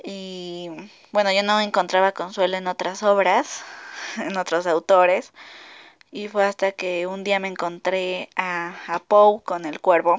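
At a very slow pace, a woman with a medium pitch speaks with fairly even intonation but big swings in loudness. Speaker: podcast host. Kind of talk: casual monologue. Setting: alone in her bedroom. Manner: halting; frequent laughter.

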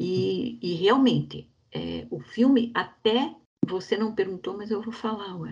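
A woman speaks at a fairly slow pace with a dark, mellow tone. Vocal fry runs through her voice. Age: 60s. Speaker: bank employee, film club member. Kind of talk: casual chat.

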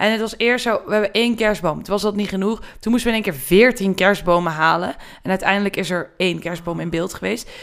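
Here a woman has an ordinary speaking voice at a medium pitch. She talks at a fairly quick pace with ordinary pitch variation. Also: hardly any pauses. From Brabant, Netherlands. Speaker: production designer. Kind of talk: casual chat.

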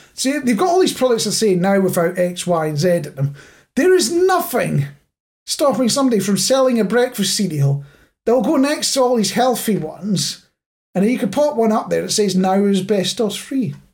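A man with a Scottish accent speaks at a moderate pace. His high pitch swings very widely. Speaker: podcast host. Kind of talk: casual chat.

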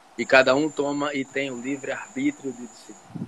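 Amid noticeable background noise, a man talks at a moderate pace with a fairly high pitch. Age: 50s. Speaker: physician and triathlete. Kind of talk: casual chat.

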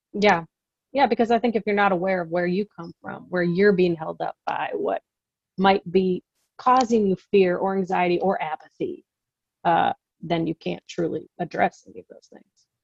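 With music in the background and a dry, close sound with no echo, a woman with an American accent speaks at a medium pitch, her pitch varying normally and her loudness swinging widely. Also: moderate pace. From US Midwest. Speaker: seminary program director. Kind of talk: casual interview.

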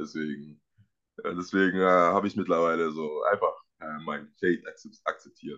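With a bright, sharp tone and a very deep, low pitch, a man speaks at a moderate pace with fairly even intonation and long, frequent pauses. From Germany, Dresden (Saxony). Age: 20s. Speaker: American football player. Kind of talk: casual interview.

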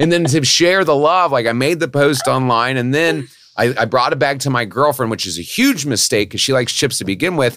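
A man's animated, medium-pitched voice with lively intonation, a fairly quick pace and hardly any pauses. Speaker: podcast guest in recovery. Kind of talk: casual chat. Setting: studio. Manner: animated, chatty.

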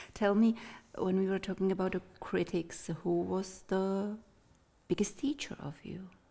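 In a Czech accent, a woman with a dark, mellow tone and medium pitch talks at a fairly slow pace. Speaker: interviewer. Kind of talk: casual interview chat. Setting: studio.

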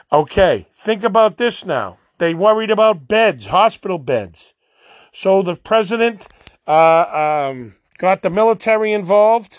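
Someone with a Boston accent speaks at a fairly slow pace over a quiet background. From Boston, Massachusetts. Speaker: podcast host. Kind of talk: opinion monologue.

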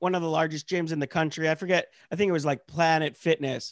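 The man has an unremarkable speaking voice with an American accent, pitched fairly high and with ordinary pitch variation. The sound is dry and close, with no echo. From rural Pennsylvania. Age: 30s. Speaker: comedian. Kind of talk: casual chat. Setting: video call.

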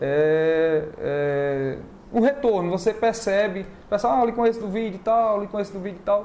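Against noticeable background noise, a man talks at a moderate pace in a high voice. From Northeast Brazil (Alagoas, Maceió; also Pernambuco, Bahia). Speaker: real estate agent and video creator. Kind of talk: casual chat. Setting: online live stream.

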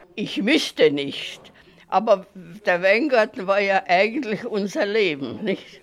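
Her intonation is lively while this woman talks at a very slow pace. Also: medium pitch for a woman. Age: 90s. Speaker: elderly writer for a minority magazine. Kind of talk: interview recollection.

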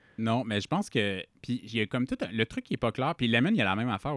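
A man at a medium pitch and a very fast pace, with a dry, close sound, no echo, a very clean recording and a silent background. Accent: Quebec. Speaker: podcast co-host. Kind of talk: casual chat.

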